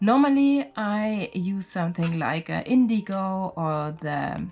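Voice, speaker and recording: A non-native accent comes through. Intonation rises and falls in a lively way. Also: woman. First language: not English. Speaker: watercolor artist, sketchbook channel creator. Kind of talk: sketchbook tour narration. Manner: casual, with fillers and hesitations.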